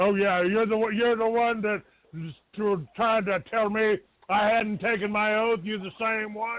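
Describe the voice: Speaking at a fairly slow pace, a man keeps a high pitch with fairly even intonation.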